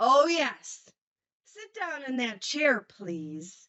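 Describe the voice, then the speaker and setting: In a put-on character voice, a woman talks at a very slow pace, pitched high and swinging very widely in pitch. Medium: read story.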